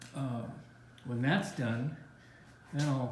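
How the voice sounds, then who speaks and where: A man speaks at a medium pitch with fairly even intonation. Room echo can be heard. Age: 70s. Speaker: travel vlogger. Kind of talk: casual chat.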